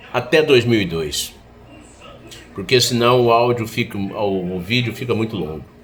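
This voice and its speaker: A man speaks amid noticeable background noise. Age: 60s. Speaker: political commentator. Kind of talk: political monologue.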